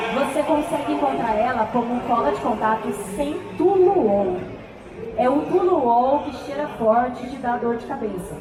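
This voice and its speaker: A woman's high voice at a fairly slow pace, lively in intonation, with noticeable background noise and audible room echo. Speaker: cosplayer teaching a workshop. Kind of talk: workshop tutorial on stage.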